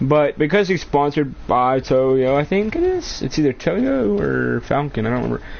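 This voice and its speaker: Over noticeable background noise, a man speaks at a moderate pace with hardly any pauses. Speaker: gaming streamer. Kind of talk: live gameplay commentary. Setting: live stream. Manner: stuttering; casual, profane.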